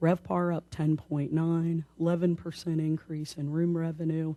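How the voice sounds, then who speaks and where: At a fairly slow pace, a woman speaks at a fairly low pitch with a dark, mellow tone. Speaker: tourism bureau staff presenter. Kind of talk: board meeting report.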